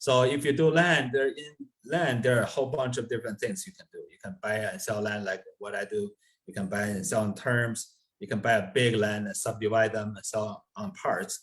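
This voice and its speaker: A somewhat breathy man with a non-native accent, lively intonation and a moderate pace. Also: medium pitch for a man. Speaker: real estate investor. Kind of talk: podcast interview. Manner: hesitant with many fillers.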